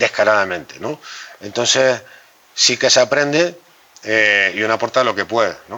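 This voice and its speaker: A man speaks with a Canarian accent at a moderate pace. There is noticeable background noise. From Canary Islands. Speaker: journalist and political communication consultant. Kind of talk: interview conversation. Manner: halting, with self-corrections.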